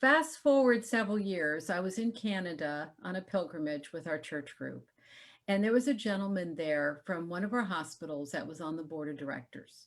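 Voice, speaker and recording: In an unremarkable speaking voice, a woman with fairly low pitch talks at a moderate pace with lively intonation on a very clean recording with a silent background. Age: 60s. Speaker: health entrepreneur. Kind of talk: interview.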